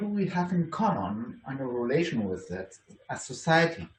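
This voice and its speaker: A man at a moderate pace with lively intonation, with audible room echo. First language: German. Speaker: university lecturer. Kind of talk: conference talk. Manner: halting, many fillers and restarts.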